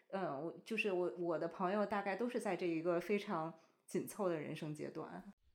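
This woman has a plain, everyday voice and a medium pitch. She talks at a moderate pace with ordinary pitch variation. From China. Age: 30s. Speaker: bride-to-be friend. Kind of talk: casual chat.

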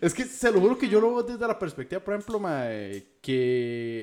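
Here is a man with a Costa Rican accent. His pitch swings very widely. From Costa Rica, southern San José. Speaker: podcast co-host. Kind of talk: casual chat.

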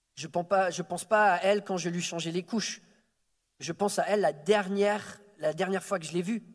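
Here a man speaks with a high pitch and fairly even intonation. His pace is fairly quick, broken by long, frequent pauses. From France, early childhood in Quebec City. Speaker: preacher. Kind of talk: sermon. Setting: church service. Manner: halting, repeats words.

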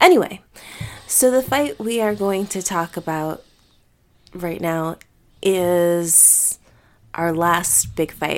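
Soft-spoken and at a fairly low pitch, a woman talks at a very slow pace with long, frequent pauses and lively intonation. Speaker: podcast host. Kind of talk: casual chat. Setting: home recording.

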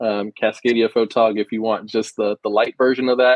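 In an American accent, a man with a plain, everyday voice speaks at a fairly low pitch with fairly even intonation. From US Pacific Northwest. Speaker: sports photographer. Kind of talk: interview. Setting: podcast guest.

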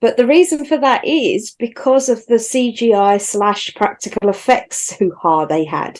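A woman talks in a normal speaking voice, fairly high in pitch. Her pace is fairly slow and her intonation is lively. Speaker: podcast co-host. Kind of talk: casual chat.

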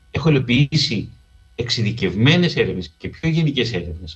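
This man talks at a fairly slow pace, somewhat breathy, with lively intonation. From Greece, Piraeus. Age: 50s. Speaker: radio documentary producer and researcher. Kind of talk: interview conversation.

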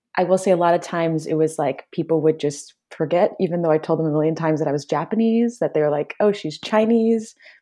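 A woman with a Midwestern American accent talks very fast in a fairly low pitch, with a dark, mellow tone, ordinary pitch variation and a quiet background. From US Midwest, Detroit suburbs. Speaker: podcast guest. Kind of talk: casual chat.

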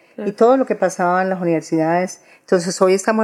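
A woman's fairly low voice with fairly even intonation. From Colombia, Antioquia. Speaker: historian and feminist activist. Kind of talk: interview. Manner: halting, repeats words.

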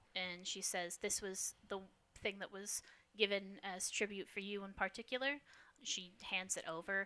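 A natural voice reading text aloud.

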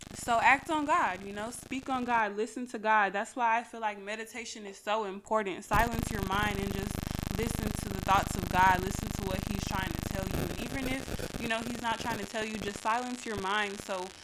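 A woman's fairly high voice at a moderate pace, fairly even in intonation, with hardly any pauses and noticeable background noise. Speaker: podcast host. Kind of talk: angry rant; faith-based motivational talk. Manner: heated, punchy, repetitive hammering, insistent and loud.

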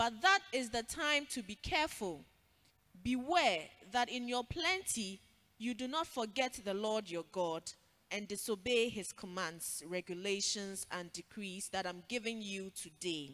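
Lively in intonation, a woman with an unremarkable speaking voice talks at a fairly slow pace and a fairly high pitch. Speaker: scripture reader. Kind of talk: reading scripture aloud. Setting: church.

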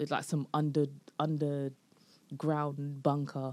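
In a London accent, the voice has a dark, mellow tone in a very clean recording with a silent background. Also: woman. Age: 20s. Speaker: comedian. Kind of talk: casual chat.

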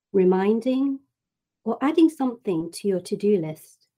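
A dark, mellow tone at a fairly slow pace, with lively intonation. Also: woman. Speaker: reiki practitioner. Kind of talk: guided meditation; interview. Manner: soft-spoken.

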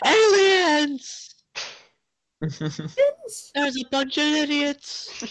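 A put-on character voice, loud and high-pitched. The pace is very slow. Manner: very loud, booming.

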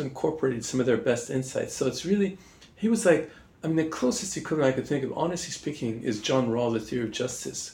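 Over noticeable background noise, a man with a Canadian accent talks very fast at a fairly high pitch with very wide pitch swings. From Montreal, Canada. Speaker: political theory professor. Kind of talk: interview. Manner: hesitant, many fillers.

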